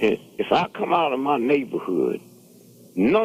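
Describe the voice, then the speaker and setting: Fairly slow, fairly high-pitched male speech with vocal fry and very wide pitch swings. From St. Louis, Missouri, US Midwest. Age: 80s+. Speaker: radio show guest, community elder. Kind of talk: radio talk show discussion. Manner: animated.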